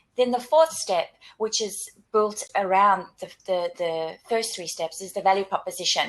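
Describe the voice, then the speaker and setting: The speaker has a South African accent. Ordinary pitch variation comes with big swings in loudness. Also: woman, medium pitch for a woman. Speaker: career coach / webinar co-host. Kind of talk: webinar presentation. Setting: online webinar. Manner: repetitive restarts, stammering on words.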